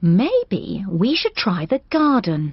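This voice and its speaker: A cartoonish character voice, female-sounding, at a medium pitch for a woman. The tone is calm and gentle. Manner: calm, gentle, proper.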